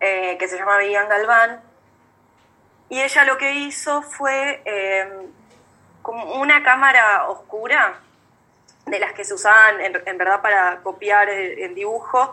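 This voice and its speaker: At a very slow pace with long, frequent pauses, a woman speaks at a medium pitch with ordinary pitch variation and big swings in loudness. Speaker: young photographer. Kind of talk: casual chat. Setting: video call. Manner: halting.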